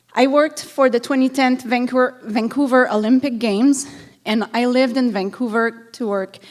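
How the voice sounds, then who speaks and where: Noticeable background noise surrounds a woman speaking. Her pace is moderate and her pitch varies in an ordinary way. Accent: Quebec. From Montreal, Quebec. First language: French. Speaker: city council candidate, event planner. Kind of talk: prepared campaign speech.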